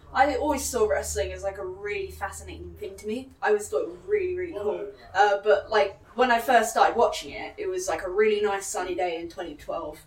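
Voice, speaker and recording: Over noticeable background noise, a woman talks with hardly any pauses and big swings in loudness. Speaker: pro wrestler. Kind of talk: casual interview chat. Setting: gym venue.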